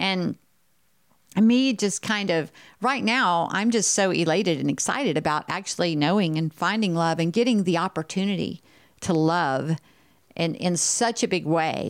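An animated woman's voice in a Texan accent, lively intonation, very even loudness and a fairly slow pace, on a very clean recording with a silent background. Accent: Texan US Southern. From Texas. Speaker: podcast host sharing her life story. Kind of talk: personal monologue, motivational testimony. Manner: animated, frequent laughter.

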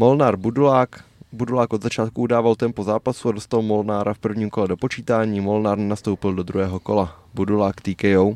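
A man with a normal speaking voice and fairly low pitch talks at a fairly quick pace, with fairly even intonation, hardly any pauses, a quiet background and a dry, close sound with no echo. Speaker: MMA podcast co-host. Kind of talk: casual chat.

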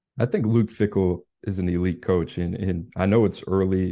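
A man speaks in a very deep, low voice with a dark, mellow tone. His pace is fairly quick and his intonation fairly even. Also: quiet background. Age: 30s. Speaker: college football recruiting analyst. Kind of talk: casual podcast chat.

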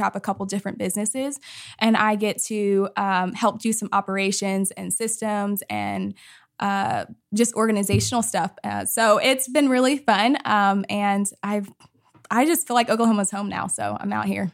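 An ordinary speaking voice from a woman at a medium pitch and moderate pace, in a very clean recording with a silent background. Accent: American. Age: 30s. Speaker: ministry leadership program worker. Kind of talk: casual interview.

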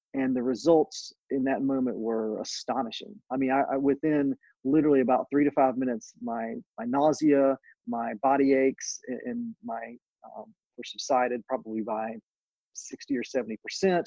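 A man speaks at a moderate pace in an ordinary speaking voice, medium in pitch, with ordinary pitch variation. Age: 40s. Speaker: cannabis attorney. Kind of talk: interview.

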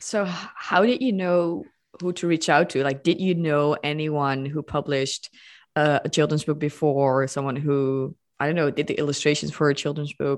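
Delivered at a moderate pace with fairly even intonation, the speech sits over a quiet background. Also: woman, very deep, low pitch for a woman. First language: not English. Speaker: podcast host. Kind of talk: interview.

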